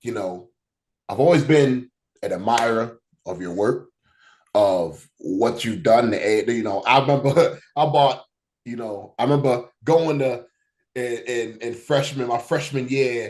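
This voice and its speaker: Using a plain, everyday voice, a man speaks at a medium pitch and a fairly slow pace, with ordinary pitch variation. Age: 30s. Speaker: podcast host and wrestling theme producer. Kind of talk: interview. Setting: home office.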